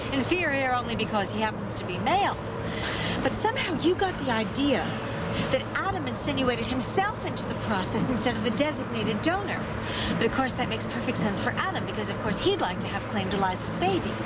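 Loud background noise runs under the speech. The pace is very fast, and the sound is dry with no echo. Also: woman. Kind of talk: dramatic acted argument. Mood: sarcastic, angry. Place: car.

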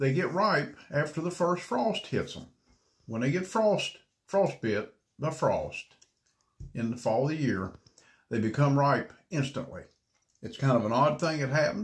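A somewhat breathy man speaks with very wide pitch swings. He leaves long, frequent pauses. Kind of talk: casual vlog chat. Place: home room. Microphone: phone near.

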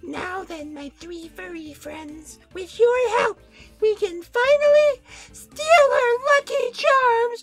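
Putting on a squeaky character voice, a woman speaks extremely high in pitch at a very slow pace. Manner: over-the-top, theatrical.

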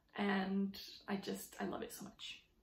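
A woman speaks at a very slow pace with audible room echo around her. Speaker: handbag vlogger. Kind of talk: casual vlog chat. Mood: cheerful, enthusiastic. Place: home room. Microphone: phone near.

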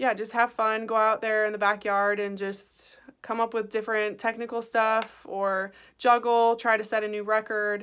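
Against a quiet background, the speech moves at a fairly slow pace with monotone, flat intonation. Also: woman. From Chicago, US Midwest. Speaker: professional soccer player. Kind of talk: recorded Q&A answering questions. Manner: casual, many filler ums. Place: home room. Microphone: phone near.

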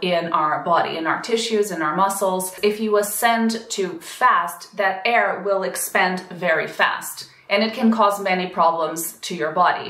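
A woman's voice with fairly even intonation and audible room echo. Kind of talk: explanatory commentary. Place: home room.

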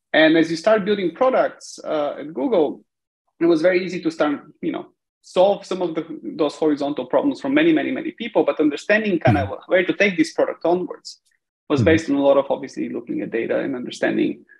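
A man talking at a very fast pace against a quiet background. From Bulgaria. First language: Bulgarian. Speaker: tech company CEO; guest. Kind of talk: interview. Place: home room. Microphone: video call.

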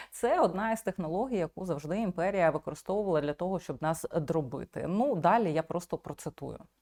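Lively intonation rides on a dark, mellow tone, with a dry, close sound and no echo. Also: woman, fairly low pitch for a woman, fairly quick pace. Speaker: video blogger. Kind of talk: commentary.

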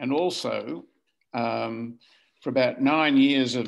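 A man speaks at a medium pitch and a very slow pace. He has an Australian accent and ordinary pitch variation. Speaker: family historian. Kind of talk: casual chat. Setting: video call. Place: home room. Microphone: video call.

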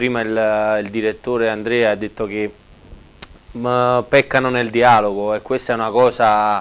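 Monotone and flat in intonation, a man speaks at medium pitch. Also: fairly slow pace. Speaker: football player. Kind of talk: TV interview. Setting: TV studio.

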